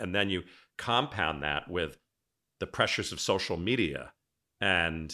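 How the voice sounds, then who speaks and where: A man speaks with a very deep, low pitch, ordinary pitch variation, vocal fry, and a bright, sharp tone. The recording is very clean, with a silent background. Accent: American. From Cape Cod, Massachusetts, New England. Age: 60s. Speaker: podcast host, former event planner. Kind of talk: casual interview chat. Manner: animated, enthusiastic.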